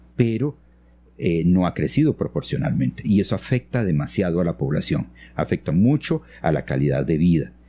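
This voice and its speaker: Speaking at a fairly slow pace, a man has a dark, mellow tone and very wide pitch swings. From Costa Rica, grew up in San Vito near Panama border. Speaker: architect and engineer. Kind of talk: interview. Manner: halting, many fillers and repetitions.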